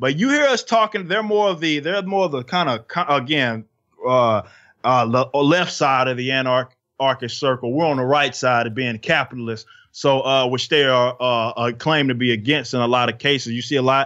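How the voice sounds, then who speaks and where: A bright, sharp voice with an American accent, ordinary pitch variation, a moderate pace and a quiet background. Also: man, medium pitch for a man. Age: 20s. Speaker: rapper and metal band frontman. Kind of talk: casual interview. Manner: outspoken.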